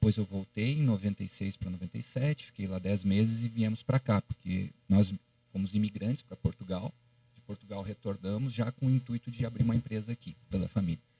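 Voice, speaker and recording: A man with a dark, mellow tone and fairly low pitch speaks at a fairly quick pace, with ordinary pitch variation and big swings in loudness. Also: dry, close sound with no echo. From Paraná, Brazil (Maringá). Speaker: podcast host. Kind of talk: podcast interview.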